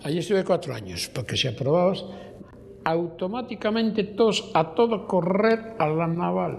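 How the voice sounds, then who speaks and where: Over noticeable background noise, a high-pitched man speaks at a fairly slow pace with lively intonation. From Basque Country, Abasolo. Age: 80s+. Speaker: retired shipyard worker. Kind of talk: documentary testimony.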